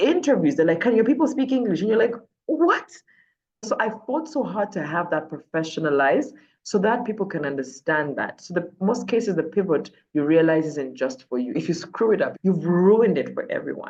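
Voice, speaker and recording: A woman with an animated tone talks at a fairly quick pace, her pitch swinging very widely. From Uganda. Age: 30s. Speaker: TV and radio presenter. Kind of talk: interview conversation.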